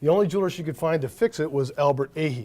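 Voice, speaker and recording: A man speaks with an American accent and a fairly high pitch. The recording is very clean, with a silent background. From US Midwest, St. Clair Shores, Michigan (Detroit area). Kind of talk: casual interview.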